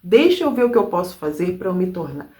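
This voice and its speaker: A woman speaks with a dark, mellow tone. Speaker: self-help speaker. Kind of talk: motivational talk. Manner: casual.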